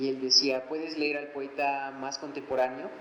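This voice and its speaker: A man with a fairly high voice speaks at a moderate pace through noticeable background noise and audible room echo. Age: 20s. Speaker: poet and author. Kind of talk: book presentation talk. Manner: halting, many pauses.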